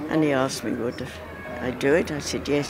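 Noticeable background noise runs behind the voice. A woman speaks, with a dry sound and no echo. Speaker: Olympic torchbearer; exercise teacher for elderly. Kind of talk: interview answer. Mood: cheerful, amused. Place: street. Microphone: handheld.

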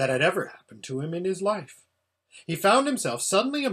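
An unforced voice reading over a quiet background.

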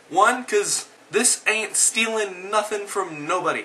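Amid noticeable background noise, a high-pitched man speaks at a moderate pace in a raised, projected voice. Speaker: video blogger. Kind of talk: angry rant. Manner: animated.

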